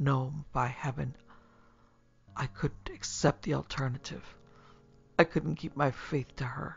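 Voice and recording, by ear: A man's put-on character voice, medium in pitch and fairly bright in tone, with a husky, rough edge and vocal fry, fairly even intonation and a fairly slow pace, over faint music in the background.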